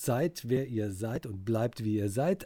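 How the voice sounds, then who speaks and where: A man with a dark, mellow tone and a medium pitch sounds somewhat breathy on a very clean recording with a silent background. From Cologne, Germany. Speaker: dialect expert. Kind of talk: casual podcast chat.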